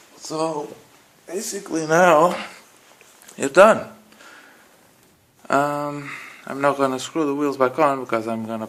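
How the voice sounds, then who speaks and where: A man's fairly high-pitched voice with a non-native accent, ordinary pitch variation and a fairly slow pace. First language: not English. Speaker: car hobbyist. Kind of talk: tutorial. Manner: casual, hesitant with fillers.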